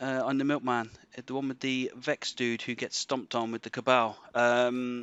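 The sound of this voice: A man speaks at medium pitch and moderate pace, with little pitch movement. His tone is fairly bright, clear and smooth, and the sound is dry and close with no echo.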